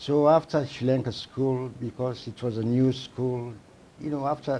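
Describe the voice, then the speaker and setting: In a Sierra Leonean accent, a man speaks at a fairly slow pace with a medium pitch. His tone is dark and mellow, with ordinary pitch variation. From Sierra Leone, Port Loko. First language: Temne. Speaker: psychiatrist. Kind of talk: interview.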